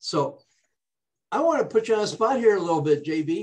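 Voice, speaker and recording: With an animated tone and very wide pitch swings, a man speaks at a moderate pace. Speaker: talk show host. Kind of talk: interview. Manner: stutter.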